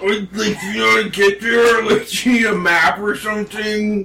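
A man's put-on character voice, high in pitch, at a fairly slow pace. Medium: actual play. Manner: flat, deadpan, barely moving lips.

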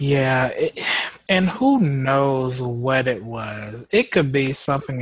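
The voice is somewhat breathy, with an American accent. The pace is very slow. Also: man. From Houston, Texas. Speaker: podcast host. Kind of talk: casual chat.

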